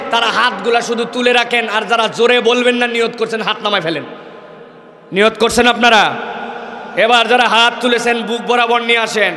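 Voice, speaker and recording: An animated man with an extremely high pitch and a raised, projected voice. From Bangladesh. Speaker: Islamic preacher; preacher. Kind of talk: sermon. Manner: animated, exhorting the crowd. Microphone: podium.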